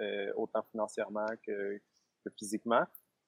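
A man with monotone, flat intonation. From Quebec. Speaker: self-employed forest dweller. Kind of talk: interview. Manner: halting. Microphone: lag on the line.

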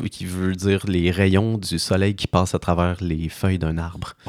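Very deep and low in pitch, a man's voice moves at a fairly slow pace. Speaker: podcast host. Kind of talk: casual chat.

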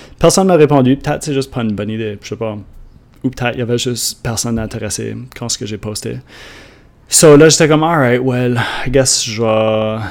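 In an Acadian accent, a man talks at a medium pitch with ordinary pitch variation. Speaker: podcast host, online entrepreneur. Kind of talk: solo monologue podcast.

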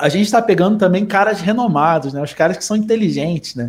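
At a fairly quick pace, a man talks in a high-pitched voice with ordinary pitch variation. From Rio de Janeiro, Brazil. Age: 30s. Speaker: bodybuilding coach. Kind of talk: casual chat.

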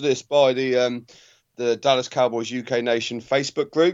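A man with a normal speaking voice and a fairly high pitch. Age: 30s. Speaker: podcast co-host. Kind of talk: casual chat.

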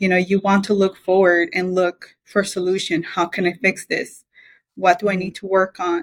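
A woman talks at a medium pitch and moderate pace. Her intonation is monotone and flat. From Belize. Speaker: mechanical engineer. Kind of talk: interview.

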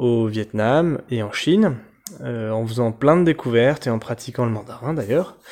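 Someone talks at a fairly slow pace with ordinary pitch variation. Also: man. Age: 30s. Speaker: travel podcaster, engineer. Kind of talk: casual self-introduction. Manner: halting, with many fillers.

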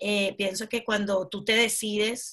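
Bright and sharp in tone, a woman with a medium pitch speaks at a fairly slow pace. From Venezuela. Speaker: branding specialist and entrepreneur. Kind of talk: interview.

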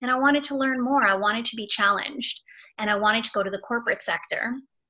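A woman's bright, sharp tone with a Canadian accent and ordinary pitch variation. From Canada, Toronto suburbs. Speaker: career coach. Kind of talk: interview conversation.

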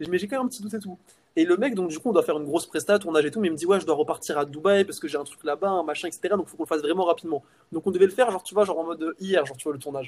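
Very fast delivery with ordinary pitch variation and big swings in loudness. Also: man, high pitch for a man. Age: 20s. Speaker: entrepreneur. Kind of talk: casual chat.

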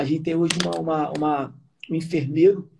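Speaking at a fairly quick pace, a man with a fairly high pitch has a dark, mellow tone. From Rio de Janeiro state, Brazil (Sumidouro / Nova Friburgo). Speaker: business owner, home care company. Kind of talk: interview on a live stream.

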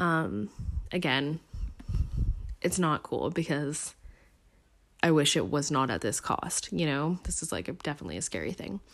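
Vocal fry marks this woman's very deep, low voice, which moves at a moderate pace with lively intonation. Long, frequent pauses break up her speech in a very clean recording with a silent background. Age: 20s. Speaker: solo podcaster, college student. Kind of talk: casual monologue. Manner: casual, hesitant with fillers and laughs.

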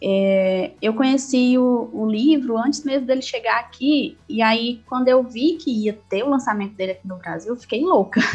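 High-pitched with ordinary pitch variation, a woman talks at a moderate pace with hardly any pauses over noticeable background noise. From Ceará, Brazil (Quixadá, Sertão Central). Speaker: English teacher and writer on afrofuturism. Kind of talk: casual interview.

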